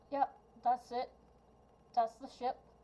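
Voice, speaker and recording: A high-pitched, female-sounding put-on character voice. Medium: actual play.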